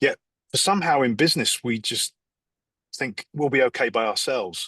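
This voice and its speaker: Man with an English accent, lively intonation, and a bright, sharp tone over a quiet background. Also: fairly high pitch for a man, moderate pace. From England, London. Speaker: executive coach. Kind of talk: podcast interview. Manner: halting, many fillers.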